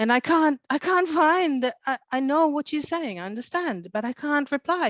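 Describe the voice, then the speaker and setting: Lively intonation marks this moderate-paced delivery in a non-native accent. The sound is dry and close with no echo, over a quiet background. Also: woman. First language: not English. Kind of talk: panel discussion. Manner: halting.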